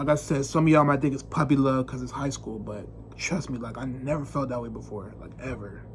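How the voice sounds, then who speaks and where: Through audible room echo, a man talks at a very fast pace with big swings in loudness. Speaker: vlogger. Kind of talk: casual monologue to camera. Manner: unscripted, halting.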